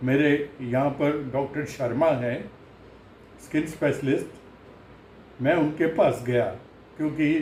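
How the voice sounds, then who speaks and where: Audible room echo surrounds a man with a fairly high pitch. His voice is somewhat breathy, with fairly even intonation. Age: 80s+. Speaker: patient sharing recovery experience. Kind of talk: testimony. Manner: halting.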